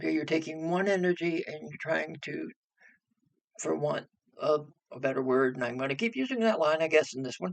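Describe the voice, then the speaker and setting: Using lively intonation, a man with a fairly high pitch talks at a fairly quick pace, broken by long, frequent pauses. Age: 60s. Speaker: spiritual teacher on energy and astrology. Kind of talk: casual monologue to camera.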